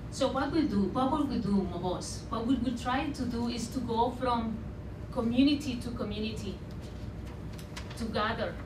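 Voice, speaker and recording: Over noticeable background noise, a woman talks at a moderate pace in a high pitch with ordinary pitch variation. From Sinaloa, Mexico. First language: Spanish. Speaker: artist and radio producer. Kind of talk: public talk. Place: hall.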